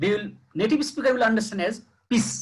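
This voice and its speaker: A man speaks with a Nepali accent. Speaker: university lecturer. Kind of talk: lecture. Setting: video call. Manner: slow.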